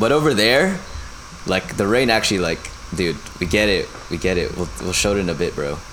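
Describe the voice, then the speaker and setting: Fairly low in pitch, a man talks at a fairly quick pace with lively intonation, broken by long, frequent pauses. Audible room echo and noticeable background noise fill the recording. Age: 20s. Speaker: podcast co-host. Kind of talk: casual chat.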